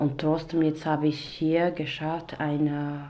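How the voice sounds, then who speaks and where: Against noticeable background noise and audible room echo, a woman speaks in a very deep, low voice. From Iraq. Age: 20s. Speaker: domestic violence survivor, author and actress. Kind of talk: testimony. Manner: halting.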